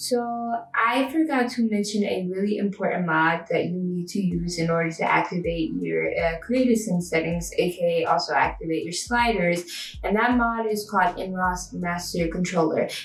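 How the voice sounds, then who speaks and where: A woman is heard amid noticeable background noise. Audible room echo surrounds her voice. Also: medium pitch for a woman, ordinary pitch variation, moderate pace. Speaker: gaming video creator. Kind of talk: tutorial. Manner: casual, chatty.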